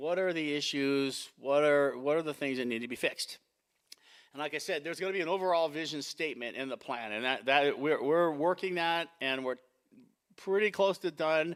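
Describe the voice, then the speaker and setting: A man's fairly high voice at a fairly quick pace, on a very clean recording with a silent background. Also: ordinary pitch variation. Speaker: city planner. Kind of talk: work session presentation. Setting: public meeting. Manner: fast; loud.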